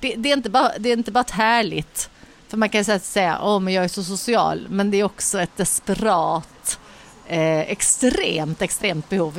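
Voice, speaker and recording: A woman's medium-pitched voice with lively intonation over noticeable background noise. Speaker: podcast co-host. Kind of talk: casual chat. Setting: bar on a busy street.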